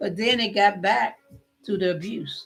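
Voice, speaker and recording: A woman is talking. Behind her, music plays. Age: 60s. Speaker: vlogger and podcaster. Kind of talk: personal testimony. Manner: halting with fillers.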